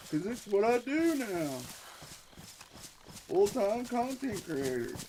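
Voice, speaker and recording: Noticeable background noise sits behind a man's voice. He speaks at a fairly slow pace with very wide pitch swings. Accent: American. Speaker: gaming streamer. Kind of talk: live gaming stream commentary. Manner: casual, rambling.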